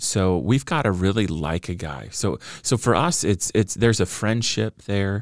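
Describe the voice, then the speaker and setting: A man with an American accent speaks at a moderate pace in a fairly low pitch, with lively intonation and vocal fry, on a very clean recording with a silent background. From Southern California (Orange County). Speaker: pastor and author. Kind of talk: interview conversation.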